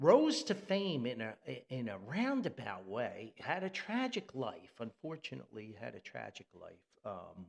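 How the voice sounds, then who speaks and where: The speaker has a New Jersey accent and talks at a fairly slow pace. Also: man. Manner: casual, hesitant with fillers.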